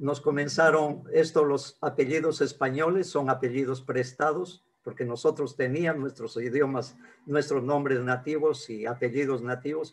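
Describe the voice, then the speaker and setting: Talking at a fairly slow pace, a man with a fairly high pitch keeps his intonation fairly even. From northern Peruvian highlands, Ayabaca, Piura. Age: 60s. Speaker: traditional healer. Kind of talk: interview. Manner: halting, with repetitions.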